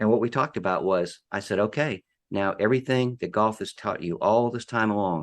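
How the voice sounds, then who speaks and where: A man talks in an ordinary speaking voice, fairly low in pitch, at a moderate speed, his pitch varying in an ordinary way. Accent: American. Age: 60s. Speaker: former college golfer and author. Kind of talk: podcast interview.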